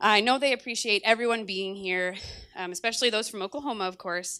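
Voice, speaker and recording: Shaky, bright, sharp female voice at medium pitch and a fairly quick pace. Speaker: matron of honor giving a wedding speech. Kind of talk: wedding toast speech.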